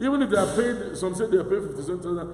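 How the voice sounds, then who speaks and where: Over noticeable background noise, a man's voice swings very widely in pitch. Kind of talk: sermon / homily reflection.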